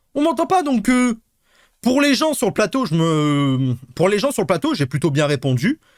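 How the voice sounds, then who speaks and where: Recorded very cleanly against a silent background, a man speaks at a high pitch with very wide pitch swings. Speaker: streamer reacting to a replay. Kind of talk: casual stream chat. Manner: loud; animated, halting repetitions.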